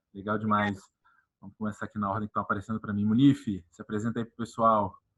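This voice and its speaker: The voice races along at a very fast pace with a bright, sharp tone and monotone, flat intonation. The background is quiet. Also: man, big swings in loudness. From Goiás, Brazil. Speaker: panel host, sales event. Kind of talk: online panel discussion. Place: office. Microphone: earbuds.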